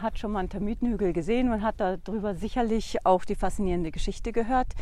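A woman speaks with fairly high pitch and ordinary pitch variation. The recording is very clean, with a silent background. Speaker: lodge owner. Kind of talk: casual interview while walking. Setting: outdoors on a walking trail.

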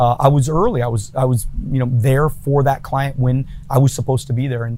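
A man with an American accent, medium pitch, a dark, mellow tone, somewhat breathy, at a moderate pace. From California. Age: 40s. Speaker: entrepreneur and business coach. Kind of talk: casual interview.

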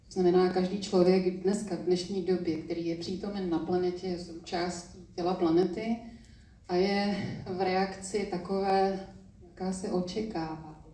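A woman's fairly slow, monotone, flat delivery with audible room echo. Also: medium pitch for a woman. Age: 60s. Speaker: spiritual teacher. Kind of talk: public interview on stage. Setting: stage with audience.

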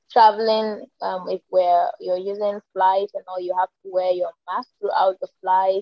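In a Nigerian accent, a woman speaks at a fairly slow pace and a medium pitch, with monotone, flat intonation and hardly any pauses. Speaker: TikTok creator and media manager. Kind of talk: casual interview chat. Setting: video call.

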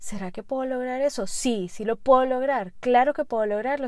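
The recording is very clean, with a silent background. A woman with a fairly high pitch speaks with ordinary pitch variation. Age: 30s. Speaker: podcast host. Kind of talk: solo podcast monologue.

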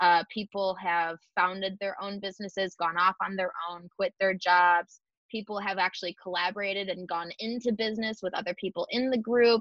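The speaker has a normal speaking voice with an American accent and fairly even intonation. The pace is moderate, with hardly any pauses. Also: woman, medium pitch for a woman. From US Northeast, Buffalo, New York. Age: 20s. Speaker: community founder and entrepreneur. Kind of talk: casual interview chat.

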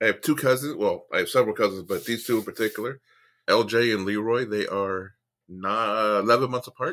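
A man with an American accent and a plain, everyday voice talks at a fairly quick pace and medium pitch with ordinary pitch variation, on a very clean recording with a silent background. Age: 50s. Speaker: comedian and former Marine. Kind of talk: casual storytelling interview.

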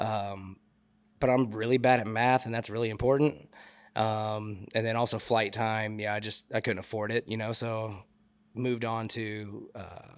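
A man with a normal speaking voice and a fairly low pitch talks at a moderate pace on a very clean recording with a silent background. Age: 30s. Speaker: DJ and sound engineer. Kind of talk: casual chat. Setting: bar lounge.

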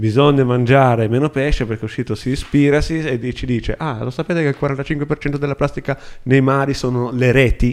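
Speaking at a moderate pace, a man with an ordinary speaking voice keeps a medium pitch and fairly even intonation. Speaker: podcast co-host. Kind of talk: casual chat.

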